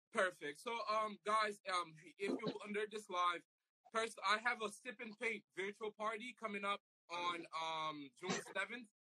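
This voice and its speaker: A man projects a raised voice with a bright, sharp tone, fairly even intonation and a moderate pace, in a dry, close sound with no echo. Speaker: health worker and club promoter. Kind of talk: casual interview chat.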